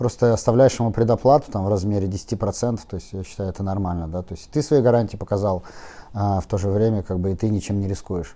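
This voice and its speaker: A man talks at a fairly quick pace with ordinary pitch variation. His voice is fairly low, with a dark, mellow tone. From Saint Petersburg, Russia (Kupchino). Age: 30s. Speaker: used car dealership founder. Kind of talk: casual interview.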